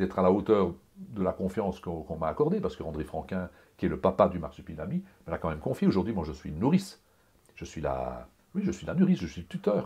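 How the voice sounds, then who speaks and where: Talking at a very fast pace, a man swings widely in loudness. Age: 60s. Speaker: comic book artist. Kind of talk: interview. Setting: home studio. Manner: animated; halting.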